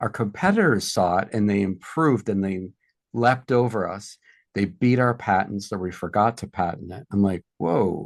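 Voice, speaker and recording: Against a quiet background, the speaker talks at a moderate pace with an American accent. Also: man. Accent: Boston accent, mostly trained out, slips back. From South Boston, Massachusetts. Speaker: entrepreneur and product developer. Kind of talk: podcast interview. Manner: animated storytelling.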